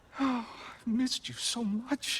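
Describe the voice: Adopting a put-on character voice, a man speaks very slowly at an extremely high pitch with a husky, rough edge, a fairly bright tone and fairly even intonation.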